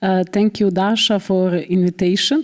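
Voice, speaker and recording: With a Bosnian accent, a woman speaks at a moderate pace in a fairly low pitch with ordinary pitch variation, over noticeable background noise. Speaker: politician. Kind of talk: conference speech. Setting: conference with live interpretation.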